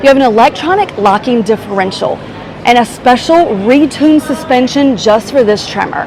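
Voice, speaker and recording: A woman's high-pitched, animated voice with lively intonation over noticeable background noise. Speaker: car reviewer. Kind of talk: product walkaround tutorial.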